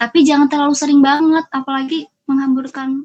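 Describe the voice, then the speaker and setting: This woman talks at a fairly quick pace in a high pitch. The sound is dry and close, with no echo. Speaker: university student and student organizer. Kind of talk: motivational speech to youth. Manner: animated.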